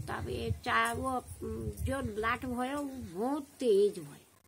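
Against light background noise, a woman speaks with a Pahari accent. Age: old. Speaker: village storyteller. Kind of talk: folk storytelling. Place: open country.

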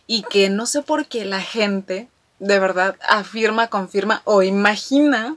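The woman's pace is very slow. Her pitch variation is ordinary. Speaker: fan vlogger. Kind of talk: casual vlog chat. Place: home room.

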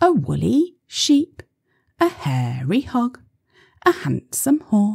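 The background is quiet while the speaker is reading aloud in a natural voice.

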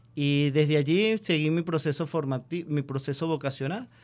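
Pitch rises and falls in an ordinary way while the delivery keeps a medium speed. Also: man. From Venezuela, Barquisimeto (Lara); Venezuela. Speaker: friar in religious training; radio guest. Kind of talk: radio interview. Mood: warm, reflective. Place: studio. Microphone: studio mic.

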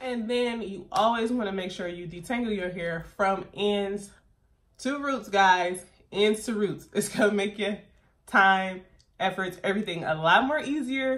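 In a quiet setting, a woman talks at a fairly slow pace with ordinary pitch variation. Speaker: hair care vlogger. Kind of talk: casual vlog tutorial. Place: home room. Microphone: phone near.

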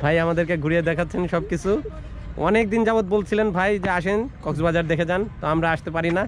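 A man speaks at a fairly quick pace with a high pitch. His pitch varies in an ordinary way.

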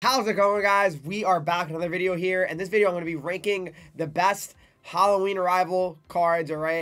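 A man talks at a fairly quick pace with high pitch and fairly even intonation. Faint music plays in the background. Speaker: gaming youtuber. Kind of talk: casual vlog chat and game commentary. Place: home room. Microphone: earbuds.

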